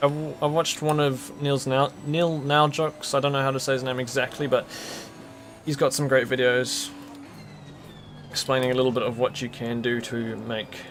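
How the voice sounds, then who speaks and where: With music in the background, a man with a New Zealand accent talks at a moderate pace and medium pitch, his intonation monotone and flat, broken by long, frequent pauses. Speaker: sim racing streamer. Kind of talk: live gameplay commentary. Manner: casual, conversational.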